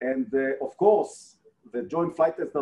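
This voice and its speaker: At a moderate pace, a man with an Israeli accent speaks in a dark, mellow tone at a fairly high pitch. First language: Hebrew. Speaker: defense agency director, retired air force colonel. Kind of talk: presentation and interview. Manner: halting, frequent fillers. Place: office. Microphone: video call.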